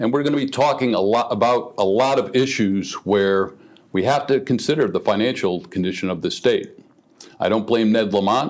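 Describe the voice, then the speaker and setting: A man at a medium pitch and moderate pace, with ordinary pitch variation and very even loudness. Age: 60s. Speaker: political candidate. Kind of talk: political debate. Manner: hesitant, many fillers.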